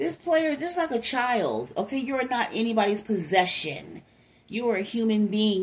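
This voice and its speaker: At a moderate pace, a woman talks. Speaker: tarot card reader. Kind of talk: casual tarot reading commentary. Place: home room. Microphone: phone near.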